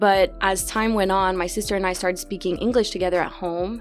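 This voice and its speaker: A woman with a medium pitch speaks in a Quebec accent. Music plays in the background. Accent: Québécois French-accented English. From Quebec City, Canada. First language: French. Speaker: student. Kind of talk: podcast interview answer.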